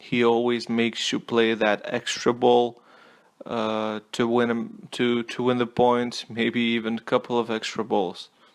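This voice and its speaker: A man with a non-native accent, medium pitch, flat monotone intonation and a fairly slow pace, on a very clean recording with a silent background. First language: not English. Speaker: tennis commentator. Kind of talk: casual monologue review. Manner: halting, many fillers and repeats.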